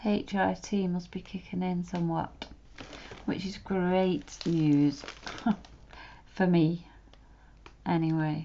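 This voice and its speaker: A soft-spoken woman's very slow delivery at a fairly low pitch, with fairly even intonation and long, frequent pauses. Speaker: art tutorial creator. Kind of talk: drawing tutorial commentary.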